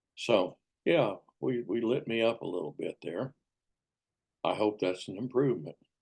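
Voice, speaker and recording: A man speaks at a moderate pace with vocal fry. His pitch sits in the middle range and varies in an ordinary way. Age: 80s+. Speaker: solo video host. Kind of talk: casual monologue. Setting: video call. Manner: halting.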